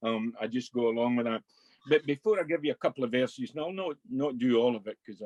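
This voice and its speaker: A Scottish accent at a fairly quick pace with ordinary pitch variation, dry and close with no echo. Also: man. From Scotland, Ayrshire (Kilmarnock). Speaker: Burns club director. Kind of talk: casual chat.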